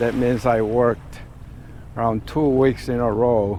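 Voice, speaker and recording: There is noticeable background noise as a man speaks at a fairly slow pace and medium pitch with monotone, flat intonation. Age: 60s. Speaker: tour business owner. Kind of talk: business talk to staff. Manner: halting with many fillers.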